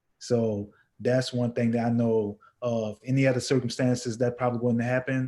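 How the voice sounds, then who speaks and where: A man with a New Orleans accent speaks at medium pitch and moderate pace, his dark, mellow tone held in monotone, flat intonation. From US South, New Orleans. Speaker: entrepreneur and music producer. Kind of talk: panel discussion.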